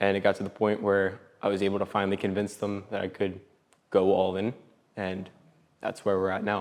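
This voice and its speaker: Long, frequent pauses break up a man's fairly quick, monotone, flat delivery in a fairly low pitch. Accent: American. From Pennsylvania, Philadelphia area (US Northeast). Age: 20s. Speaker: entrepreneur. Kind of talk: podcast interview. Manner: casual, hesitant with frequent 'um'.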